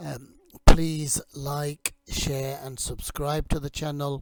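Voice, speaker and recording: A man's monotone, flat delivery at a very slow pace, in a dry, close sound with no echo. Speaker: English teacher. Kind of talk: lecture. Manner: hesitant, many fillers.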